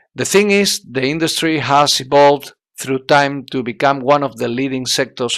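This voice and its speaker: A very clean recording with a silent background, speech in a Spanish accent at a moderate pace, and ordinary pitch variation. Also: man. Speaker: language student. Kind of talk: oral exam presentation. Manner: halting, many hesitations.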